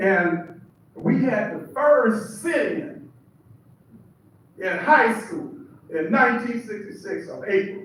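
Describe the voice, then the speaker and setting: A man speaks at a very slow pace with long, frequent pauses, his high voice rising and falling in lively intonation and swinging widely in loudness, over noticeable background noise and audible room echo. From Seattle, US. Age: 70s. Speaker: preacher. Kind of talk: testimony.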